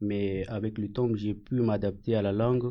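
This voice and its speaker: Fairly slow and fairly even in intonation, a man speaks at medium pitch in a dark, mellow tone. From Afghanistan. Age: 20s. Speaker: French language learner. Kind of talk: self-introduction. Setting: studio. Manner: halting, many hesitations.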